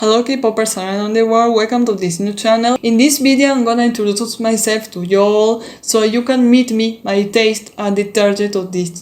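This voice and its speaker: Over noticeable background noise, a woman with a Spanish accent speaks at a moderate pace, her fairly high voice showing ordinary pitch variation. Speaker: K-pop YouTuber. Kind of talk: casual vlog introduction. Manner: halting, with repetitions.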